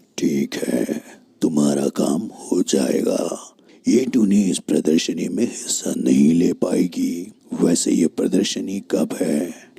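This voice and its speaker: A man uses a cartoonish character voice with a very deep, low pitch and a fairly slow pace. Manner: cold, threatening.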